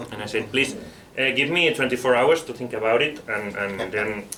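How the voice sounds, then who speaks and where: A man speaks with a Spanish accent at a medium pitch. Noticeable background noise runs underneath. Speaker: book author. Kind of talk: book presentation talk; interpreting for a co-panelist. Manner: halting, with fillers and repetitions.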